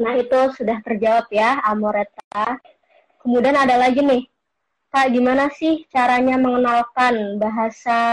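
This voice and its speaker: Her pitch is fairly high. The woman's intonation is flat and monotone. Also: quiet background. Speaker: student host of online talk. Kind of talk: casual chat interview.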